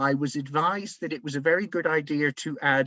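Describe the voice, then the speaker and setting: Fairly quick and fairly high-pitched, a man's voice carries the clip. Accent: Devon. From England, Plymouth. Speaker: community heritage project organiser. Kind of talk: webinar presentation. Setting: online webinar. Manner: conversational, with fillers.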